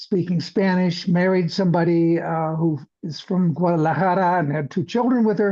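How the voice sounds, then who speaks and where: Over a quiet background, a high-pitched man with a dark, mellow tone talks at a moderate pace with ordinary pitch variation. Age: 80s+. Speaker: podcast host, scientist. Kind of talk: casual monologue about his career. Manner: halting, many fillers.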